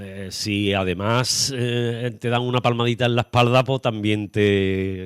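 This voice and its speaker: A medium-pitched man at a very slow pace, with hardly any pauses and fairly even intonation. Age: 70s. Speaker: radio host. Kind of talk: radio interview. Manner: halting.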